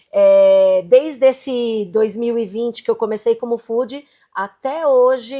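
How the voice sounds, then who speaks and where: A woman is speaking. Her pitch sits fairly high. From Brazil. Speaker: entrepreneur and digital content creator. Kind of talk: interview.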